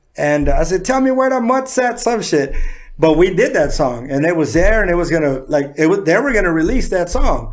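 In an American accent, a man talks at a fairly quick pace with very even loudness and a high pitch that swings very widely, amid audible room echo and noticeable background noise. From San Diego, California. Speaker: rapper. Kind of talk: casual chat.

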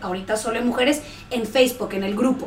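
A woman at a fairly high pitch with ordinary pitch variation, audible room echo and noticeable background noise. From Central America (Guatemala, El Salvador, Honduras). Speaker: pediatric dentist. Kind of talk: interview.

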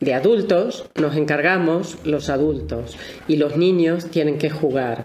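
Speaking at a fairly slow pace with ordinary pitch variation, a woman has a very deep, low voice, with noticeable background noise and audible room echo around her. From Argentina. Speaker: family constellations therapist and author. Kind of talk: interview.

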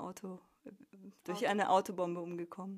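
This woman speaks at a medium pitch. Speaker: emigrant working as university teacher. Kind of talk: interview.

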